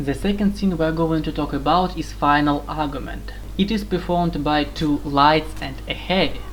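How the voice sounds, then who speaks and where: Hardly pausing, a woman with a non-native accent speaks at a moderate pace, with audible room echo and noticeable background noise. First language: not English. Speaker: video game guide maker. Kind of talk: tutorial.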